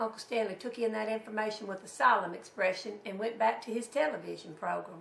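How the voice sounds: A woman at medium pitch talks at a fairly quick pace with a fairly bright tone, vocal fry and ordinary pitch variation, with audible room echo around her.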